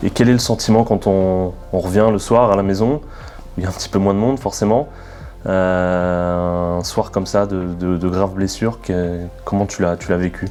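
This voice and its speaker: A man's very deep, low voice at a moderate pace, fairly even in intonation, with music in the background. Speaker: club media interviewer. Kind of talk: interview questions.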